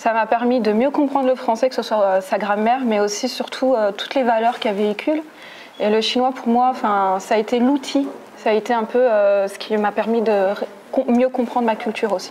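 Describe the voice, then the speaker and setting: Over noticeable background noise, a woman speaks fairly quickly at a fairly high pitch with fairly even intonation. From French Basque Country. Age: 30s. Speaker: French teacher. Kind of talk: interview. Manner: hesitant, many fillers.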